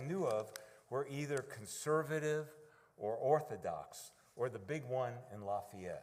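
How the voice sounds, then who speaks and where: The voice has a New York accent. The pace is moderate. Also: man. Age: 70s. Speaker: congregation member. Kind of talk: testimony.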